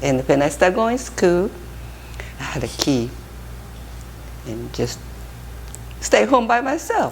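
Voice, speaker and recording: A woman at a fairly slow pace, with audible room echo and noticeable background noise. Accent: Japanese. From Japan. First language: Japanese. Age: 70s. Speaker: interviewee. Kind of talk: life story interview. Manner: halting.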